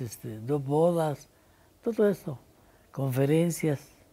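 A woman's very deep, low voice, dark and mellow in tone, at a fairly slow pace. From Poland. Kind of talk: oral history interview answer. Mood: calm, reflective, serious. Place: home room.

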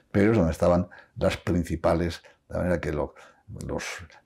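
In a quiet background, a man speaks in a very deep, low voice with a dark, mellow tone and fairly even intonation. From La Rioja, Spain; Spain. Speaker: interviewee. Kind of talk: interview. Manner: halting, with many repetitions. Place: home room. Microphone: lapel.

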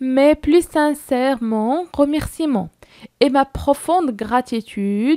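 A woman with a Moroccan accent, high-pitched with lively intonation and a dark, mellow tone, speaking very slowly in a dry, close sound with no echo. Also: very clean recording, silent background. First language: Moroccan Arabic (speaking French). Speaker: French teacher for middle school. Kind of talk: lecture. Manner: halting.

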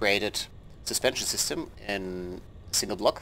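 In a non-native accent, a man speaks at a fairly slow pace. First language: not English. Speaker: game tutorial creator. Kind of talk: video game tutorial narration. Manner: casual, relaxed.

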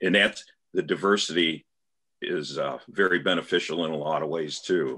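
A man talks at a middling tempo against a quiet background. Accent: American. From US Midwest. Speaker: farmer. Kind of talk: panel discussion. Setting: video call. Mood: relaxed, conversational. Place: home room. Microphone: video call.

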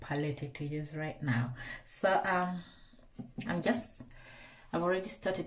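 Somewhat breathy speech comes at a moderate pace with ordinary pitch variation, under light background noise. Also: woman. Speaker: beauty vlogger. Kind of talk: makeup tutorial chat. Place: bathroom. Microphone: phone near.

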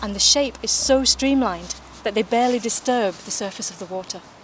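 A woman speaks at a moderate pace in a warm tone with ordinary pitch variation, and noticeable background noise can be heard. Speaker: TV presenter trainee. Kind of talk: nature documentary narration, scripted outside broadcast piece to camera. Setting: outdoors. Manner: clear, warm, polished presenter delivery; upbeat, engaging, lightly wry.

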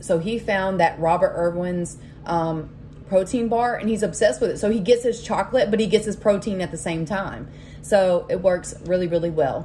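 A woman speaks at a moderate pace with lively intonation. Light background noise is present. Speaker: vlogger sharing weight loss tips. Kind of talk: casual vlog chat. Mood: warm, encouraging. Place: kitchen. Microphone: phone near.

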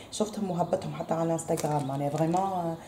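A woman speaks with fairly even intonation amid audible room echo and light background noise. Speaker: home vlogger. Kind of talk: casual vlog chat. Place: kitchen. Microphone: phone near.

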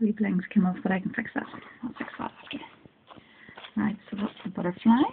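Over loud background noise, a woman with a fairly high voice speaks at a moderate pace with ordinary pitch variation. Her tone is excited. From Northern Ireland. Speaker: craft hobbyist. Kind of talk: casual craft unboxing talk to camera. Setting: phone recording at home. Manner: excited, chatty. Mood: delighted, excited. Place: home room. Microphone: phone near.

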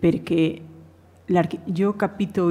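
This is a woman speaking. She has a strong Spanish accent. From Spain. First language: Spanish (speaking Italian). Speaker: architect and professor; professor. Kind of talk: conference talk. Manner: halting. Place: hall. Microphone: podium.

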